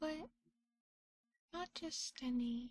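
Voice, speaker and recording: Soft-spoken and relaxed in tone, a woman talks at a very slow pace. Her pitch is high. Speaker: vtuber, ASMR streamer. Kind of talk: ASMR roleplay stream, soft-spoken chat. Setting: studio, binaural microphone. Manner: soft-spoken, relaxed.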